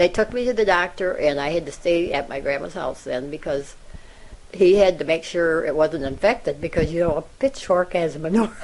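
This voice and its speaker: With a Midwestern American accent, a woman speaks at a moderate pace. Her pitch is fairly low and varies in an ordinary way. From Iowa. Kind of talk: interview answer.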